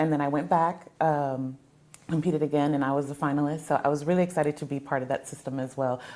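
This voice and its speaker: Speaking very fast in an American accent, a woman's very deep, low voice stays monotone and flat, with a dark, mellow tone. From South Texas (Mercedes, border town). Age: 40s. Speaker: fabric store owner and fashion designer. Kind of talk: interview conversation.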